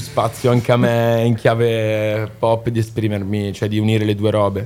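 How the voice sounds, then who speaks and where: A man at a moderate pace, with a medium pitch, monotone, flat intonation and music in the background. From Milan, northern Italy. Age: 20s. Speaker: singer-songwriter. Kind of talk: casual interview chat.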